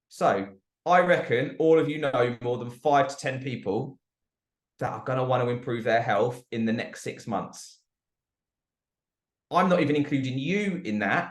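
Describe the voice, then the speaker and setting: With a British accent, a man speaks at a medium pitch. He leaves long, frequent pauses. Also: ordinary pitch variation, moderate pace. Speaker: network marketing presenter. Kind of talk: sales pitch. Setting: group call.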